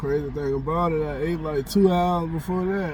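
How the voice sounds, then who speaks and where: There is audible room echo around a man's voice. He talks at a fairly quick pace with a fairly high pitch. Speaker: bible reader and vlogger. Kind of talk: casual chat. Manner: loud.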